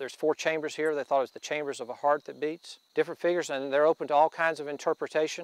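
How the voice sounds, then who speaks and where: In an Appalachian accent, a man with a fairly high pitch and monotone, flat intonation speaks at a very fast pace with hardly any pauses and big swings in loudness, in a dry, close sound with no echo. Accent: Southern Appalachian US. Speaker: landowner. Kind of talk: interview.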